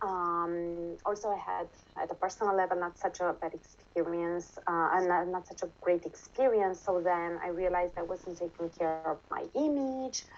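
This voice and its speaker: A woman speaks in a Romanian accent at a moderate pace. Her voice is fairly low, with ordinary pitch variation. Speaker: interviewee sharing nutrition experience. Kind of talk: casual interview. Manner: halting, many fillers.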